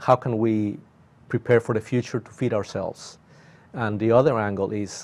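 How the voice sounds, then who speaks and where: A man speaks at a moderate pace, his intonation fairly even. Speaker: university professor guest. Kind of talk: interview answer. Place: studio. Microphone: lapel.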